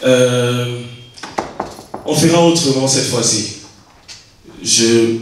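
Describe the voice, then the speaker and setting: Speaking at a very slow pace, a man has a medium-pitched voice. Strong room echo surrounds him, along with light background noise. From Côte d'Ivoire. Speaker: event host. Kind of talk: event hosting. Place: hall.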